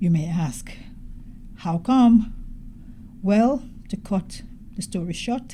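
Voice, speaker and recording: The voice has a dark, mellow tone and is somewhat breathy. Its intonation is lively. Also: woman. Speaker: doctor, podcast host. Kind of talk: gentle reflective podcast talk. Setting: hospital room, background noise. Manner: soft-spoken, slow.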